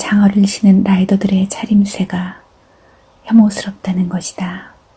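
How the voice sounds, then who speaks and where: At a very slow pace, a woman with a medium pitch speaks in a monotone, flat intonation. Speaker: reader of essays and poems. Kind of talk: literary essay reading, calm narration.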